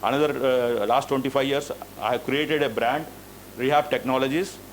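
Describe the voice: Speaking at a moderate pace with fairly even intonation, a man holds a medium pitch.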